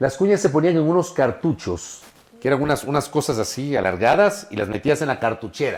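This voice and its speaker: This man talks at a fairly quick pace with an animated tone. His fairly high voice swings very widely in pitch. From Ecuador, Ambato (Andean highlands), part childhood in Guayaquil. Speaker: journalist. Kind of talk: podcast interview.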